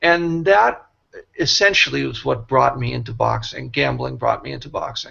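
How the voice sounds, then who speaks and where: At a moderate pace, a man with an American accent talks with big swings in loudness. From Boston, US. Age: 60s. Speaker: boxing writer and former manager. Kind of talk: interview.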